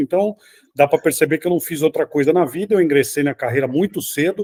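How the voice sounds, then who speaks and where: A man speaks fairly quickly in a normal speaking voice with ordinary pitch variation and a dry, close sound with no echo. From Brazil, São Paulo city. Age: 60s. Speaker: sports journalist. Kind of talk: interview.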